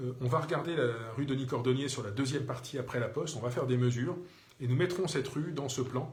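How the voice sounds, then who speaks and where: A man's very fast speech at medium pitch, with fairly even intonation, noticeable background noise and audible room echo. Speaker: mayor answering citizens' questions. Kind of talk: live Q&A broadcast. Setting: Facebook live video. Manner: hesitant, many fillers.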